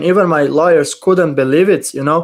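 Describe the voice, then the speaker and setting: A man talks with a non-native accent at a moderate pace. His pitch is fairly high, with ordinary variation. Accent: foreign accent in English. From Middle East. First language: not English. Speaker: crypto YouTuber. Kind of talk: casual chat.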